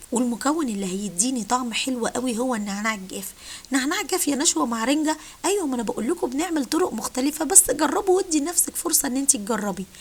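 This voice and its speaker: Over noticeable background noise, a woman speaks at a fairly quick pace and high pitch with lively intonation. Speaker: cooking channel host. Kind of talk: cooking tutorial.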